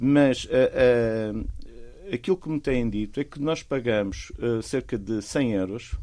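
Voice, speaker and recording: His tone is mellow and dark. This man speaks very slowly. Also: medium pitch for a man, ordinary pitch variation. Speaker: volunteer beach clean-up organiser. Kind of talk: casual chat. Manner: animated; halting.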